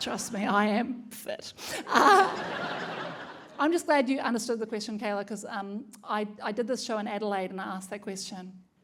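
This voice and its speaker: A woman with a New Zealand accent speaks at a moderate pace with a fairly high pitch. Audible room echo and noticeable background noise are present. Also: ordinary pitch variation. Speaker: comedian. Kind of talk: stand-up. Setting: stage with audience.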